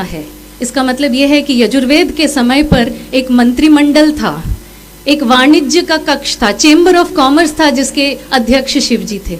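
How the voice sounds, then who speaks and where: The speaker has a Tamil accent and ordinary pitch variation, with noticeable background noise in the recording. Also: woman. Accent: Tamil-accented Hindi. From India, Tamil Nadu (Madurai). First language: Tamil (speaking Hindi). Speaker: civil servant. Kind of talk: speech at a cultural event. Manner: formal, bookish Hindi.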